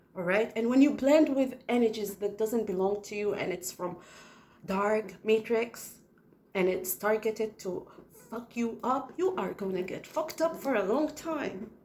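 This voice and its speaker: In a non-native accent, a woman speaks at a fairly slow pace with a fairly high pitch. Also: ordinary pitch variation. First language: not English. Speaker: spiritual video channel host. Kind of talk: casual spiritual monologue to camera. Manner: animated.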